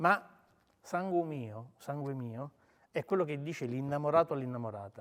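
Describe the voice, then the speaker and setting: Long, frequent pauses break up a man's speech at a moderate pace, with big swings in loudness. His pitch is fairly high, with ordinary variation. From Sicily, Palermo. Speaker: writer. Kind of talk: talk with interpreter at book event.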